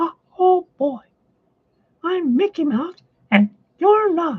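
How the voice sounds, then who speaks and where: A squeaky, extremely high put-on character voice at a very slow pace. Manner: cartoonish.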